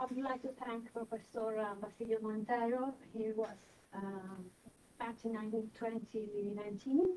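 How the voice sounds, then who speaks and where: A woman speaks at a moderate pace with an Italian accent and a fairly high pitch. Her tone is dark and mellow, her intonation fairly even. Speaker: doctoral candidate. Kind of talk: academic presentation. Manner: halting.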